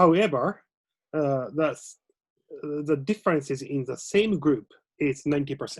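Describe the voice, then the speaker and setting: With a Japanese accent, a man speaks at a fairly slow pace and a fairly high pitch, using ordinary pitch variation. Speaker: lecturer. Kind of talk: casual conversation. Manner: halting.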